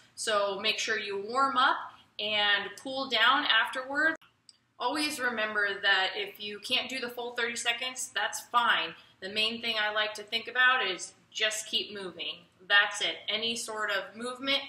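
A woman speaks at a fairly slow pace with ordinary pitch variation and audible room echo. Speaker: fitness instructor. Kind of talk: tutorial. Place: garage.

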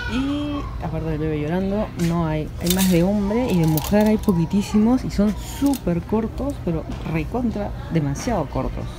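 Noticeable background noise sits under the voice. The delivery keeps a moderate pace. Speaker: vlogger. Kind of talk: casual vlog chat. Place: shop. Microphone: phone near.

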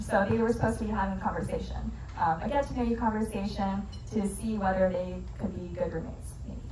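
There is audible room echo and light background noise. A woman talks at a very fast pace. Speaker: presenter. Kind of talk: lecture. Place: bar.

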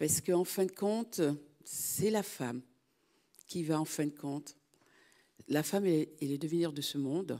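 With a dark, mellow tone and a very deep, low pitch, a woman speaks at a moderate pace with ordinary pitch variation and long, frequent pauses against a quiet background. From Martinique. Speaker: audience member, association president; audience member. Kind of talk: audience question. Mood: earnest, reflective. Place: hall.

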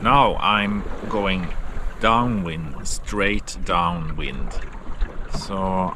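In a monotone, flat intonation, a man speaks with a dry sound with no echo over noticeable background noise. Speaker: solo sailor vlogger. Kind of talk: casual vlog commentary. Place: boat. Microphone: phone near.

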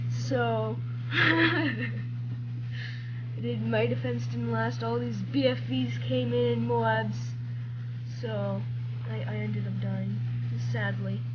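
Over loud background noise, a woman talks at a very slow pace with long, frequent pauses. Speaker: gamer. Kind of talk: casual gameplay commentary.

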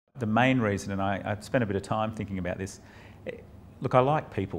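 Very fast and fairly low-pitched, a man speaks over light background noise. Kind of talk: interview answer. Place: office. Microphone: lapel.

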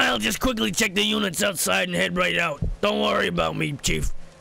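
Using a put-on character voice, a man talks at a fairly quick pace over light background noise.

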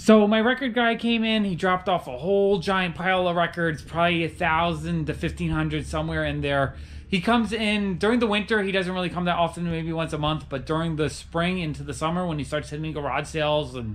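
A man speaks with a high pitch and ordinary pitch variation. He moves at a fairly quick pace with hardly any pauses. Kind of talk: casual vlog chat. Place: shop. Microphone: phone near.

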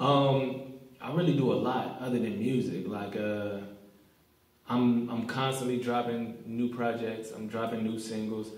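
Audible room echo surrounds a man who speaks fairly slowly with fairly even intonation. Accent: American. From Chicago. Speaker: rapper; guest. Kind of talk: casual interview. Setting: studio. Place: studio.

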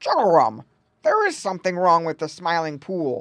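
A woman puts on a gruff character voice at a fairly low pitch. She keeps a moderate pace. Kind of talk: bedtime story. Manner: gruff, grumpy.

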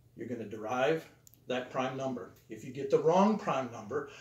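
Audible room echo around a man talking. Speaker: teacher. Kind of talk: lecture. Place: classroom.

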